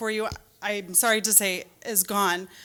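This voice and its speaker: With an American accent, a woman speaks in a raised, projected voice against noticeable background noise. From Michigan (Rochester). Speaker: parent speaking at school board meeting. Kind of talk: public comment speech. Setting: public meeting hall. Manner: fast.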